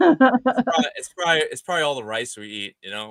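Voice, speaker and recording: A man's medium-pitched, fairly quick delivery in a plain, everyday voice, with a dry, close sound with no echo. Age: 40s. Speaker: gecko breeder. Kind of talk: casual chat. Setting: live stream.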